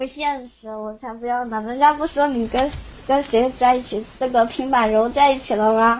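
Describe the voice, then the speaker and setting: A woman speaks in a high pitch at a moderate pace. Her intonation stays fairly even. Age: 18. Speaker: caller. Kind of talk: casual chat. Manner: soft-spoken.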